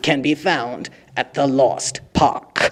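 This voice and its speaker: His put-on character voice sits fairly high in pitch for a man. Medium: audio drama. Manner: formal, with dry sarcasm.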